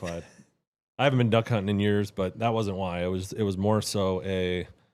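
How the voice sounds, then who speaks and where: Recorded very cleanly against a silent background, a man with a Wisconsin accent talks fairly quickly in a fairly low voice with fairly even intonation. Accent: Wisconsin accent, noticeable to Southerners. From Wisconsin, USA. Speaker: churchgoing friend. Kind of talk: casual chat, testimony. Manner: halting, many restarts.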